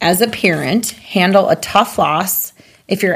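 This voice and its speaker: A woman with an Upper Midwest accent talks at a fairly slow pace. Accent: Upper Midwest (Minnesota). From southwestern Minnesota. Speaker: podcast host. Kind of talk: casual chat.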